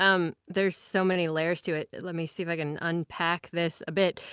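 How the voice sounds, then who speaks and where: On a very clean recording with a silent background and dry, close sound without echo, a woman uses an unremarkable speaking voice at fairly low pitch and fairly slow pace, with ordinary pitch variation. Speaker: podcast co-host. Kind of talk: casual chat.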